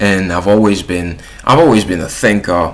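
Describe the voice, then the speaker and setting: There is noticeable background noise behind a man's voice. His pitch is very deep and low, with ordinary pitch variation. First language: French. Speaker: YouTuber. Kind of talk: casual vlog monologue. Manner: casual, with filler words and restarts.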